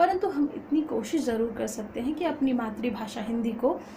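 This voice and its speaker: With a Bihari accent and ordinary pitch variation, the voice comes through audible room echo and noticeable background noise. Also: woman. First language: Magahi (speaking Hindi). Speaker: college student and poet. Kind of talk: informal lecture. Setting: at home. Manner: halting with frequent fillers.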